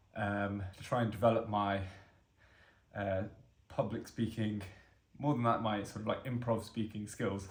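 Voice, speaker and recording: Audible room echo surrounds a man with a fairly low pitch who speaks at a moderate pace, somewhat breathy, in a monotone, flat intonation. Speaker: vlogger doing fitness challenge. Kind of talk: casual self-recorded vlog monologue. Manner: hesitant, with fillers; slight stammer on words.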